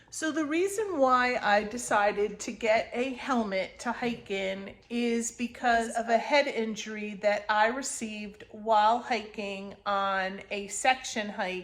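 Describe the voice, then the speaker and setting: Her intonation stays fairly even as a woman speaks at a fairly high pitch. She goes very slowly with hardly any pauses. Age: 60s. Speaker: section hiker. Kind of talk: casual talk to camera.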